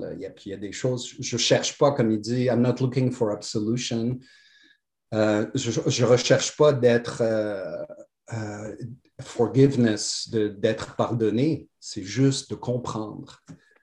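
At a very slow pace, a man talks in a somewhat breathy, medium-pitched voice. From Morocco. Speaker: podcast guest. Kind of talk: casual spiritual interview.

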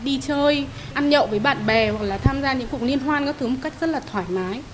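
Noticeable background noise sits behind a woman whose intonation is lively. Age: 40s. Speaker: blood donor. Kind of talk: radio interview testimony.

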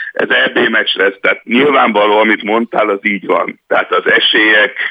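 A man speaks at a very slow pace. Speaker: football pundit. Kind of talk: casual chat. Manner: halting.

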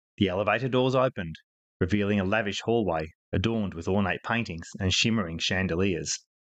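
Against a quiet background, a man with a plain, everyday voice speaks at a fairly low pitch with ordinary pitch variation. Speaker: fiction podcaster and author. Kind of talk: literary audiobook reading, scripted fiction narration. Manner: smooth, measured, polished storyteller pacing with theatrical dialogue voices.

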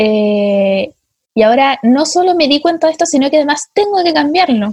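A woman with a Chilean accent speaks at a fairly quick pace with lively intonation. The sound is dry and close, with no echo. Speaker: podcast host. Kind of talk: casual chat.

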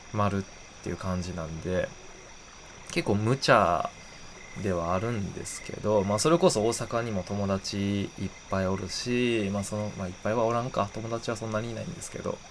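A man with a Kansai accent at a moderate pace, fairly low in pitch with ordinary pitch variation, over noticeable background noise. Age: 20s. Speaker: podcast host. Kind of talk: casual solo talk.

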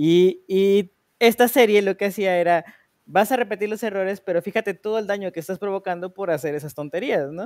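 The recording is very clean, with a silent background and a dry, close sound with no echo. A man speaks at a high pitch and a fairly quick pace. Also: ordinary pitch variation. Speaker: podcast co-host. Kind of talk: casual chat.

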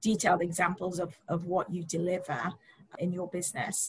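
A woman speaks in a normal speaking voice, her pitch fairly low. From immigrant to the US. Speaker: podcast host, marketing and training coordinator. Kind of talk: interview.

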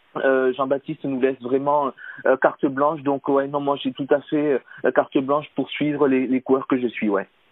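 Here a man speaks in a fairly high voice at a moderate pace. His intonation is monotone and flat. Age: 30s. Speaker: cycling coach. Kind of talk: interview. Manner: hesitant, many fillers.

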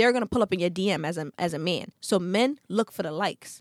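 A woman's medium-pitched voice with a Brooklyn accent, at a fairly quick pace, dry and close with no echo, on a very clean recording with a silent background. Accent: New York (Brooklyn). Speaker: podcast host. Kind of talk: casual chat. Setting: studio. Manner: aggressive-sounding, forceful.

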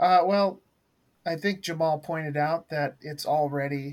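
At a moderate pace, a man with an American accent uses a normal speaking voice with ordinary pitch variation. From US Pacific Northwest. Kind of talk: casual group discussion.

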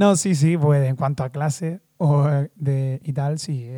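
A man with a dark, mellow tone speaks at a fairly high pitch. His intonation stays fairly even. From Canary Islands, Lanzarote. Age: 20s. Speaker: dancer and dance teacher. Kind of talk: casual interview chat.

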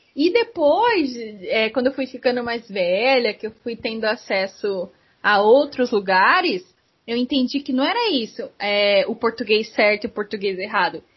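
Her pace is fairly slow, in a normal speaking voice. The woman's pitch sits fairly high. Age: 20s. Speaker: podcast host. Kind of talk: casual interview chat.

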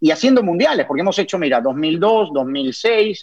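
In a normal speaking voice, a man keeps a moderate pace. Lively intonation marks his delivery. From Peru. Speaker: sports commentator. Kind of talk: interview.

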